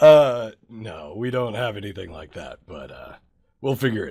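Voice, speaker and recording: A man uses a raspy, put-on character voice at a medium pitch. He speaks at a moderate pace with lively intonation. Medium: actual play. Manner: casual, businesslike, laid-back.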